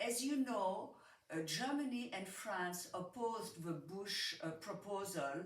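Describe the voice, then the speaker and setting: With audible room echo, a woman speaks very slowly at medium pitch with lively intonation. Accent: French. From Switzerland. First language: French. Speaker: audience member asking a question. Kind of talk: audience question.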